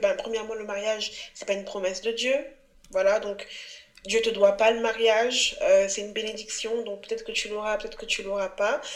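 A woman talks at a fairly quick pace with a fairly high pitch and monotone, flat intonation. Her loudness swings widely, and there is noticeable background noise. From Cameroon. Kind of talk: casual interview.

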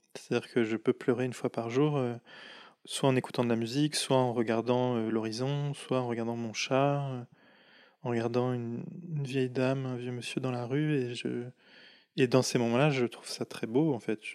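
A man speaks at a moderate pace in a medium pitch, with flat, monotone intonation and long, frequent pauses, on a very clean recording with a silent background. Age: 30s. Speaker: draughtsman and painter. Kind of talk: casual interview conversation. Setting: indoors over tea in Paris. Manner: hesitant, many fillers and repetitions.

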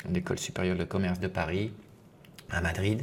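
With fairly even intonation, a man talks in a very deep, low pitch. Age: 50s. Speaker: podcast host and business coach. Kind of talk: solo podcast monologue. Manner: halting, with many fillers.

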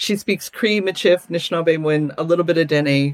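Speaking at a moderate pace with a Canadian accent, a woman with an unremarkable speaking voice uses lively intonation at a fairly low pitch. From Alberta, Canada. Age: 50s. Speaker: visual artist and activist. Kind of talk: interview conversation.

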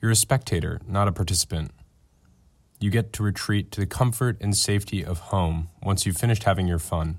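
A man with a somewhat breathy, fairly low voice and ordinary pitch variation is heard in a very clean recording with a silent background. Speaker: podcast company executive. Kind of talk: scripted narration.

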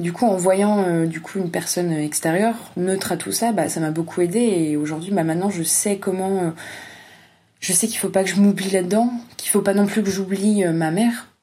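Audible room echo around a woman of medium pitch, speaking at a moderate pace with fairly even intonation. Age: 20s. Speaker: young family caregiver. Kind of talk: testimony.

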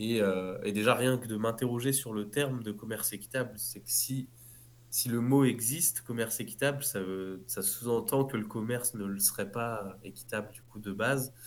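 This man has an unremarkable speaking voice. He talks at a moderate pace. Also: medium pitch for a man, fairly even intonation, big swings in loudness. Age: 30s. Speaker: clothing brand founder. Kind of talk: interview.

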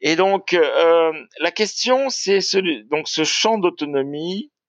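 A man's high-pitched voice with lively intonation. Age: 70s. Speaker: industry researcher and author. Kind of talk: interview. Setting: remote call. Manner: halting.

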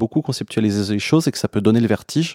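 The recording is very clean with a silent background and a dry, close sound with no echo, as a man speaks at a medium pitch with ordinary pitch variation and a dark, mellow tone. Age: 30s. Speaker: person living with schizoaffective disorder. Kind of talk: casual chat. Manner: halting.

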